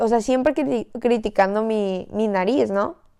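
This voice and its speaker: Recorded very cleanly against a silent background, a woman speaks with a fairly high pitch. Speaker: podcast host. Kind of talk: casual chat. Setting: in bed at home. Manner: lying down while talking.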